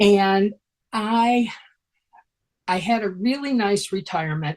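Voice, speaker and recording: A woman speaks with a somewhat breathy voice. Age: 70s. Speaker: retired sign language interpreter, scam victim. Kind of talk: personal testimony. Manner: halting.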